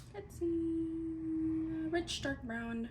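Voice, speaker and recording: There is noticeable background noise. Room echo is audible too. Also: woman. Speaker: beauty vlogger. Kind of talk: tutorial.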